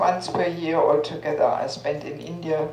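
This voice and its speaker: Speaking at a fairly slow pace, a woman with a fairly low pitch keeps her intonation fairly even, with audible room echo and noticeable background noise. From Germany. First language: German. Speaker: spiritual teacher. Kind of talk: talk to an audience.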